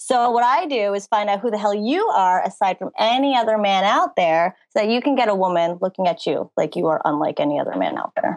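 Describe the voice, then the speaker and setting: A woman with a plain, everyday voice talks at a fairly quick pace with hardly any pauses. Her medium pitch carries lively intonation, and the sound is dry and close with no echo. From New Jersey. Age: 20s. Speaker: dating coach. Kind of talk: casual interview.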